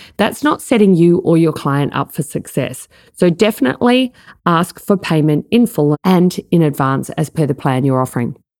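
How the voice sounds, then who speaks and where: With an Australian accent, a woman speaks at a fairly low pitch in a dry, close sound with no echo. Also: moderate pace. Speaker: life coaching business coach, podcast host. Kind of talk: solo podcast tutorial.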